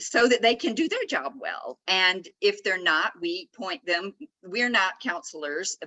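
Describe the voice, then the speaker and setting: In a Southern US accent, a woman speaks at a fairly slow pace with lively intonation. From US South, Atlanta, Georgia. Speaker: author. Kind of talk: casual interview. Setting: video call from a conference nook.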